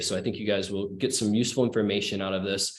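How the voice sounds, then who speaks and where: Audible room echo carries a man's voice as he speaks at a fairly quick pace. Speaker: marketing speaker on a webinar panel. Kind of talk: webinar presentation. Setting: online webinar. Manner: fast.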